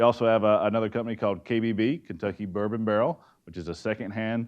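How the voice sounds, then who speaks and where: Speaking at a very fast pace, a man talks in a fairly low pitch. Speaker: forester and timber procurement manager. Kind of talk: presentation talk. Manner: loud.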